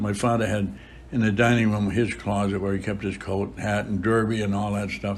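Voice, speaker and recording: Speaking with an American accent, a man has a fairly low pitch and fairly even intonation, with audible room echo. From Boston area, US. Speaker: priest. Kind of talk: interview. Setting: chapel.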